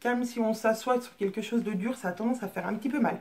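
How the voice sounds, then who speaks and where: Fairly even intonation from a woman, her voice set fairly high. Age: 30s. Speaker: sewing hobbyist vlogger. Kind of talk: casual show-and-tell vlog. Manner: hesitant, many fillers.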